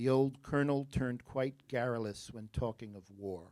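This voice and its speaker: In an American accent, a man speaks at a medium pitch with ordinary pitch variation. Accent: New Jersey accent, noticeable at times. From New Jersey. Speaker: spelling bee pronouncer. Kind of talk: spelling bee word reading. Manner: clear, deliberate enunciation.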